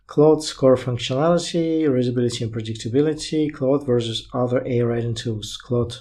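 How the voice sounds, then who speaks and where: Speaking at a fairly quick pace with hardly any pauses, a man with a non-native accent has a medium pitch, ordinary pitch variation, a somewhat breathy quality and a dark, mellow tone. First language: not English. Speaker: tech YouTuber reviewing AI writing tools. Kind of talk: software tutorial, screen walkthrough. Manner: casual, hesitant with fillers.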